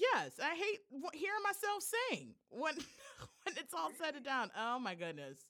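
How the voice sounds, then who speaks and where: A woman speaks at a fairly slow pace in a high, raised and projected voice, her animated tone carried by very wide pitch swings. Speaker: podcast host. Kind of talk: casual chat.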